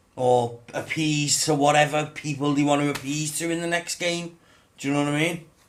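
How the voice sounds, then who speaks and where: A man with a fairly high voice speaks at a moderate pace in a flat, monotone way. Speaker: gaming YouTuber. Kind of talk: casual rant to camera. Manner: halting, stumbling over words.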